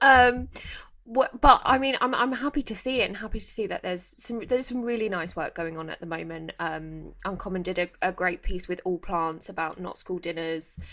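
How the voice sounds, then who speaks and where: A woman with an unremarkable speaking voice talks at medium pitch and a moderate pace, her intonation lively and her loudness swinging widely. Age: 30s. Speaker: podcast host. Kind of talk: casual interview chat.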